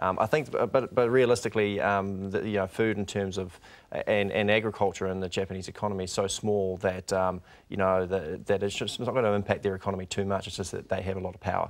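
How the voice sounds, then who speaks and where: In a New Zealand accent, the speaker talks at a very fast pace with fairly even intonation. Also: man, fairly low pitch for a man. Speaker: bank rural economist. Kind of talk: TV interview. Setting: studio. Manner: halting, many repetitions and fillers. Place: studio. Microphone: lapel.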